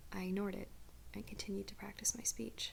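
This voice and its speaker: A soft-spoken woman talks. Her pace is moderate. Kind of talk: first-person creepypasta narration. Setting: candlelit room, ASMR recording. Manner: soft-spoken, quiet.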